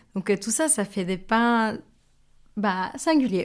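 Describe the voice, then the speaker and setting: A woman talks in a fairly high pitch with a Mexican accent. The recording is very clean, with a silent background. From Mexico. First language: Spanish (speaking French). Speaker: baker. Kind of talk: interview. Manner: hesitant, with fillers.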